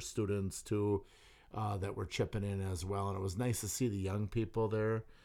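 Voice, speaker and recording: An American-accented man with a plain, everyday voice talks at a fairly low pitch on a very clean recording with a silent background. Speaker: sturgeon spearing hunter. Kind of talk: casual chat. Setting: studio.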